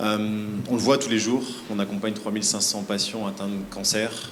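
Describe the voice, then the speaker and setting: There is noticeable background noise and audible room echo as a man talks at a fairly quick pace. His pitch is fairly low and his intonation fairly even. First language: French. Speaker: health nonprofit representative. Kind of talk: panel answer at awards ceremony.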